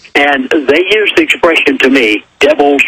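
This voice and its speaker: A man's voice over noticeable background noise. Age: 70s. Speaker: minister. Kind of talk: interview.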